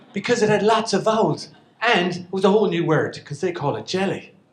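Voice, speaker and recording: A man talks in an Irish accent at a fairly quick pace. His tone is animated and his pitch high. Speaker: storyteller. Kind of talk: stand-up storytelling.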